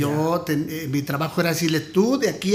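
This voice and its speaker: A man talks throughout. Noticeable background noise is audible too. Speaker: former radio announcer. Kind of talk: interview answer, casual storytelling.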